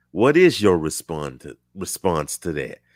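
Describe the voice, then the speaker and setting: Speaking at a very slow pace with an Alabama accent, a man is heard in a dry, close sound with no echo on a very clean recording with a silent background. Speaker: talk show host. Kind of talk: casual chat.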